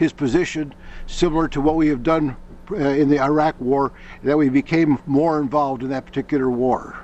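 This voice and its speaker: This man speaks in an ordinary speaking voice with an American accent at a moderate pace. His pitch is fairly high and his intonation fairly even. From US Midwest, Iowa. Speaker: auditing student. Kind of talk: question to a guest.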